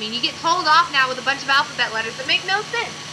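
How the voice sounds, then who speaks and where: Over noticeable background noise, a woman speaks very fast. Her intonation is lively. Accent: American. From US South. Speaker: vlogger. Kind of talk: casual chat. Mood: playful, laughing. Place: home room.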